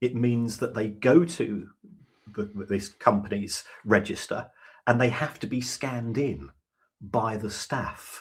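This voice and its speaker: A somewhat breathy male voice at medium pitch with ordinary pitch variation, a fairly slow pace and long, frequent pauses. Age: 60s. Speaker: football finance expert. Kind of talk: podcast interview.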